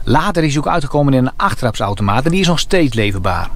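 A man at a fairly quick pace, dry sound with no echo. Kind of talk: tutorial. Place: car. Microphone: phone near.

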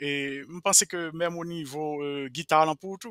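The man's tone is bright and sharp, and his pace is very slow. The sound is dry with no echo, over a quiet background. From Haiti, Jérémie; Haiti. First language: Haitian Creole (speaking French). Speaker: Haitian roots musician; interview guest. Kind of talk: interview. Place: home room. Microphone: headset.

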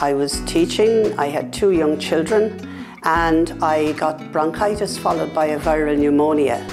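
Over clear background music, a woman with a very deep, low voice speaks at a moderate pace with lively intonation. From Ireland. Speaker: patient advocate. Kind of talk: interview answer. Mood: calm, earnest. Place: office. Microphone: lapel.

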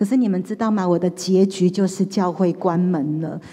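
Over a quiet background, a woman speaks in a dark, mellow tone with ordinary pitch variation. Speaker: pastor. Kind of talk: testimony. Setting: church. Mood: earnest personal testimony. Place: church. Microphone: handheld.

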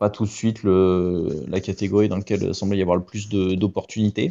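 In a monotone, flat intonation, a man with a very deep, low pitch talks at a moderate pace. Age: 30s. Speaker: retired Olympic rower. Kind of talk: interview. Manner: hesitant, many fillers.

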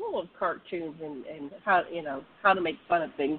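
A woman's normal speaking voice, fairly low in pitch, at a moderate pace. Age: 60s. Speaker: online radio show host. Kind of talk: casual interview chat. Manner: casual, laughs often.

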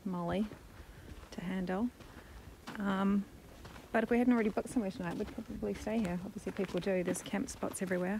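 A woman speaks at a very fast pace in a dry sound with no echo, with light background noise behind her. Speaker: travel vlogger. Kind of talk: casual vlog chat. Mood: amused, amazed. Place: open country. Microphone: phone near.

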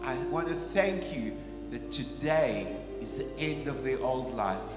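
Very slow speech with clear music in the background. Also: man. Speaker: pastor. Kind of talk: prayer. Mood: earnest, solemn. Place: church. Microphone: handheld.

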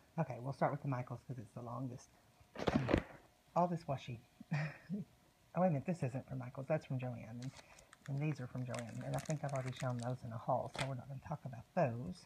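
An American-accented woman with a very deep, low pitch talks at a very fast pace, using ordinary pitch variation and long, frequent pauses. Noticeable background noise runs underneath. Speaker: haul vlogger. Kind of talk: casual haul video. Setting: at home, baby sleeping. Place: home room. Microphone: phone near.

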